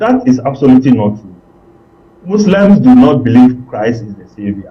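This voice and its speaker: With noticeable background noise behind him, a man speaks at a moderate pace with ordinary pitch variation. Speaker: political analyst. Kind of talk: TV political discussion.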